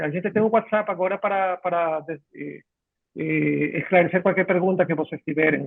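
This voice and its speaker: This man's voice sits at a high pitch with ordinary pitch variation. He speaks at a moderate pace. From Ecuador. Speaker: software company clinical director. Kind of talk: live webinar chat. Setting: video call. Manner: halting.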